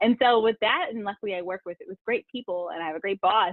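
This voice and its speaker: With an American accent, a woman talks at a very fast pace, at medium pitch and with ordinary pitch variation. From US Mid-Atlantic, Montgomery County, Maryland. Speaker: sports journalist. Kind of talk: interview.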